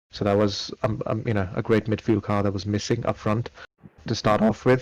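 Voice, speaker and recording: Using a plain, everyday voice, a man with a fairly low pitch talks at a moderate pace with fairly even intonation. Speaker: Formula One podcast host. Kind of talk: casual sports discussion.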